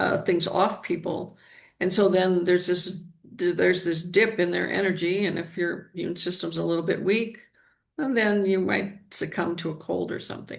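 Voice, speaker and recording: The voice carries vocal fry and fairly even intonation at a moderate pace, with audible room echo. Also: woman, fairly low pitch for a woman. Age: 70s. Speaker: energy healer. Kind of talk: interview.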